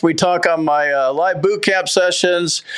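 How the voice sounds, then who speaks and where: A man speaks at a high pitch with an American accent. His pace is moderate, with noticeable background noise. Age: 50s. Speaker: veteran benefits YouTuber. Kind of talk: casual explainer video.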